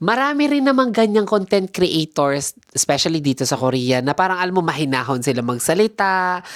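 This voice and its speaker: A woman talks at a fairly low pitch and a fairly quick pace, with hardly any pauses and very even loudness. Her pitch swings very widely on a very clean recording with a silent background. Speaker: podcast host. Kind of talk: casual chat. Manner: animated.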